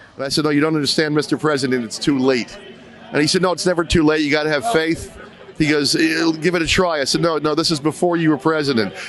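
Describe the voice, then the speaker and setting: A man with an American accent at a very fast pace, fairly high in pitch, with ordinary pitch variation and noticeable background noise. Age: 60s. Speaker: rally attendee. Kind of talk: street interview. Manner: animated.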